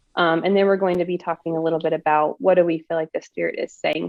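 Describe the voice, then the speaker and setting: A woman with an Oklahoma accent, at a fairly quick pace, with ordinary pitch variation. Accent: Oklahoma accent, noticeable. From Oklahoma, US. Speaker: prophetic ministry co-host. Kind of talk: livestream chat. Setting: video livestream.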